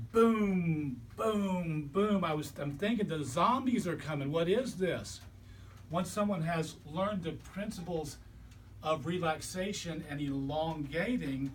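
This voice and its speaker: There is audible room echo around a man with a high pitch. He speaks at a fairly slow pace with ordinary pitch variation. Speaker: chiropractor and body worker. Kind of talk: lecture.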